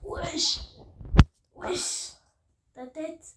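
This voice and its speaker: A woman puts on a raspy character voice. Her pitch is extremely high. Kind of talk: street slang. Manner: aggressive, joking.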